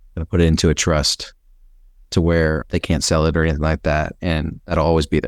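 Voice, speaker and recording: Dry and close with no echo, the voice moves at a moderate pace in a monotone, flat intonation with vocal fry. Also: man. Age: 30s. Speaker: business consultant. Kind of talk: casual chat.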